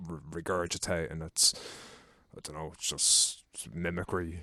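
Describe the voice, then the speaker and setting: An Irish-accented man with a very deep, low pitch and a bright, sharp tone, moderate pace, monotone, flat intonation, and a very clean recording over a silent background. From Ireland. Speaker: podcast guest. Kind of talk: casual chat.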